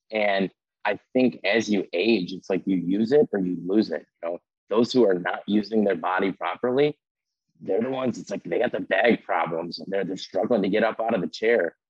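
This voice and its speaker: With an American accent, a man speaks energetically at a moderate pace, his fairly low pitch showing ordinary variation. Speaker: insurance salesman. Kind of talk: casual interview.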